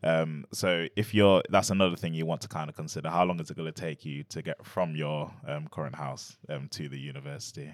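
A man with an East Midlands accent and a very deep, low pitch, with ordinary pitch variation, big swings in loudness and a fairly quick pace. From Nottingham, England. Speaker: university schools liaison officer. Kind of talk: informative panel chat. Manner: hesitant, many fillers.

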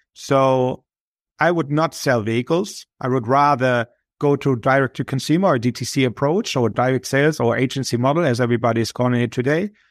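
A man with a German accent speaks at a fairly quick pace in a medium pitch, with ordinary pitch variation, in a very clean recording with a silent background and a dry, close sound with no echo. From Germany. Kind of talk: interview.

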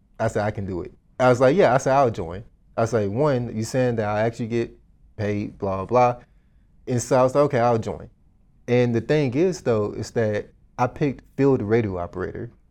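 Using an ordinary speaking voice, this man talks at a medium pitch, and his pitch varies in an ordinary way. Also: fairly quick pace. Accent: American. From Dallas, Texas. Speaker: real estate investor. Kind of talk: casual interview.

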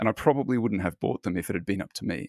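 A man at a medium pitch with an Australian accent, very fast, with ordinary pitch variation, dry and close with no echo, on a very clean recording with a silent background. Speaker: fund manager and author. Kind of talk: interview. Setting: home office.

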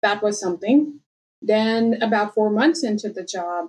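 This woman has an Indian accent and talks at a moderate pace. Her pitch varies in an ordinary way. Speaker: nonprofit data consultant and life coach. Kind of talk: interview conversation. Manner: animated, storytelling.

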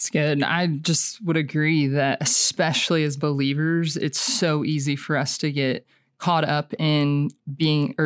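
A woman with an American accent speaks at a fairly slow pace in a very deep, low voice. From Oklahoma. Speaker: camp ministry teacher and songwriter. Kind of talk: podcast interview.

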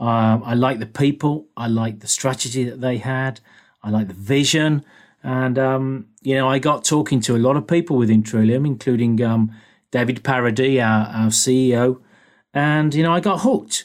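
With a British accent, a man speaks with ordinary pitch variation on a very clean recording with a silent background. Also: medium pitch for a man, moderate pace. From England. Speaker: engineering business executive. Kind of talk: interview.

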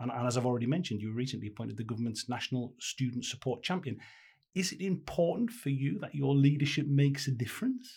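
The speech comes at a very fast pace with lively intonation. The voice is somewhat breathy. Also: man. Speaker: podcast host. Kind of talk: interview.

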